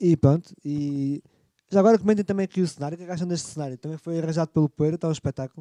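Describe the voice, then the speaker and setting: Very fast and fairly high-pitched, a man's voice has a dark, mellow tone, ordinary pitch variation, big swings in loudness and a dry, close sound with no echo. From Lisbon, Portugal. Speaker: livestream interview host. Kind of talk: casual interview.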